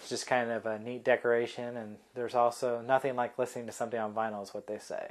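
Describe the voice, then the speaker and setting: Talking very fast in an American accent, a man keeps a medium pitch and a monotone, flat intonation while his loudness swings widely. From US Midwest, Kokomo, Indiana. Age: 20s. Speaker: college student. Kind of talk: personal video introduction. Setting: at home, in his room. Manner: halting, many fillers.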